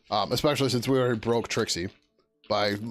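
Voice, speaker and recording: Over music in the background, the speaker talks at a very fast pace with ordinary pitch variation. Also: man. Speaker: software developer live streamer. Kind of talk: live coding stream. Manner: casual, many fillers.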